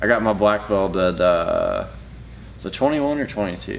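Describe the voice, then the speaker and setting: The speech carries a Southern US accent and ordinary pitch variation. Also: man. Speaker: jiu-jitsu instructor and YouTuber. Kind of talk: casual chat.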